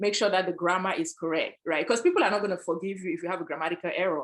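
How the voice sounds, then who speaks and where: A woman of medium pitch speaks with ordinary pitch variation. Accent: African. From Africa. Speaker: panelist, sales executive. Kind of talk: panel discussion.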